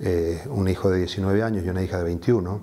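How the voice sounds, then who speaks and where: A man's voice sounds dark and mellow and sits fairly low. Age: 60s. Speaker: activist, association founder; interviewee. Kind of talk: interview; interview answer. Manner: measured, frequent hesitations. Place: home room. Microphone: lapel.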